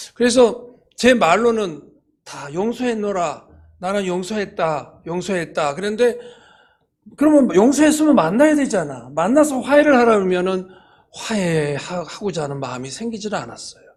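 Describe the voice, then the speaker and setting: A man speaks at a moderate pace in a high pitch, with very wide pitch swings. His loudness rises and falls sharply, and the room adds audible echo. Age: 60s. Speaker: church elder and business owner. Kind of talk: testimony. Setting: church service. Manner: halting, many fillers.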